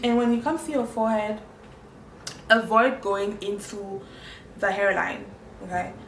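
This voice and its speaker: Over noticeable background noise and audible room echo, a woman with a fairly high pitch speaks in an animated tone at a moderate pace. She uses ordinary pitch variation and long, frequent pauses. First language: French. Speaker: makeup tutorial creator. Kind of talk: tutorial.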